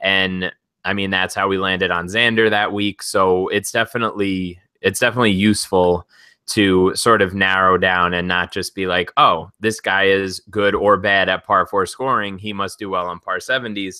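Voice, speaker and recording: A man with a Long Island accent speaks at a moderate pace in a fairly low pitch, his tone bright and sharp and his intonation monotone and flat. The recording is very clean with a silent background, and the sound is dry and close with no echo. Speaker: sports betting podcast co-host. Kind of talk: casual podcast discussion.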